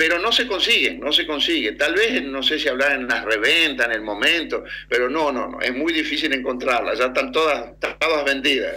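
A man at a moderate pace, hardly any pauses, with noticeable background noise. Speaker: Argentine expatriate. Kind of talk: remote radio interview. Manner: halting.

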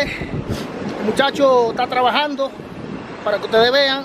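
Noticeable background noise sits under this clip. A man talks in an extremely high pitch with fairly even intonation. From Dominican Republic, rural countryside. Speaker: family vlogger. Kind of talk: casual vlog narration. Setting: outdoors.

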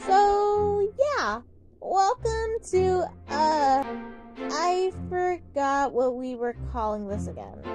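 A female-sounding, cartoonish character voice speaks at a high pitch and very slow pace. Clear music plays in the background. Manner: chatty, upbeat, slightly scatterbrained.

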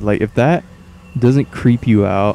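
Music plays in the background as a man speaks in an animated tone. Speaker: gaming commentator. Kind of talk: casual gameplay commentary. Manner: profane, animated.

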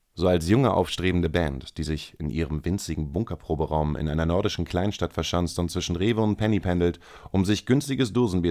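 Over a silent background in a very clean recording, a man talks fairly quickly in a very deep, low voice with a dark, mellow tone and ordinary pitch variation. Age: 30s. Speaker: podcast host. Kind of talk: reading aloud own writing; casual solo podcast monologue.

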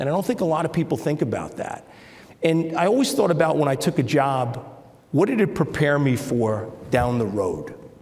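Speaking fairly quickly, a man talks with a New York accent. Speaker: business executive. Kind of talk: interview. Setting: stage with audience. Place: stage. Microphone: lapel.

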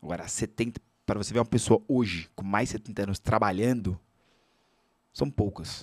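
Pausing long and often, a man talks at a moderate pace and a fairly low pitch with ordinary pitch variation. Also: quiet background. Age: 30s. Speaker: financial educator and speaker; guest. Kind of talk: casual chat. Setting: studio. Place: studio. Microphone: studio mic.

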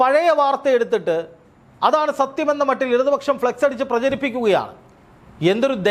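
The man's pitch is extremely high. It varies in an ordinary way. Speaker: news commentator. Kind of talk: political commentary.

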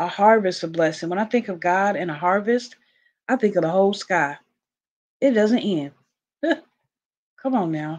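Speaking at a moderate pace with lively intonation, a woman with a medium-pitched voice leaves long, frequent pauses. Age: 30s. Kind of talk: casual Bible devotional talk to camera. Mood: warm, fervent, encouraging. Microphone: video call.

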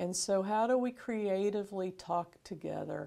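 In an American accent, a woman speaks very slowly in a medium-pitched, dark, mellow tone against a quiet background. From Florida. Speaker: bishop. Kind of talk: interview. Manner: casual. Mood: warm, friendly. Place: studio. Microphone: lapel.

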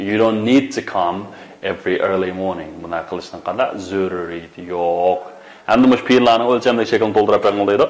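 Ordinary pitch variation at a fairly quick pace. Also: man, fairly low pitch for a man. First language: Uyghur. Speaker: English language teacher. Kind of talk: lecture. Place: studio.

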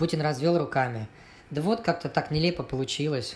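A man speaks at a moderate pace in a somewhat breathy voice. His pitch varies in an ordinary way. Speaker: cartoonist and artist. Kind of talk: read satirical cartoon story. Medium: cartoon.

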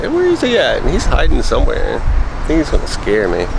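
A man speaks with loud background noise behind him. The sound is dry, with no echo. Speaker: collector vlogger. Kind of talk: casual vlog chat. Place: street. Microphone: phone near.

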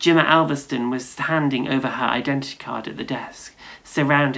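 A natural voice reading aloud, its intonation fairly even.

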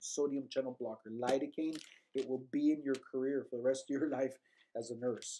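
In a quiet background, a man speaks very fast with fairly even intonation. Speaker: nursing instructor. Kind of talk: lecture. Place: home room. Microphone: webcam.

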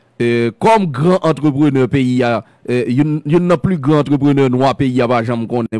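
A man with a Haitian accent has a dark, mellow tone. The sound is dry with no echo, and the background is quiet. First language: Haitian Creole (speaking French). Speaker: radio and web talk show host; radio, web talk show host. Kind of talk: interview. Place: studio. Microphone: studio mic.

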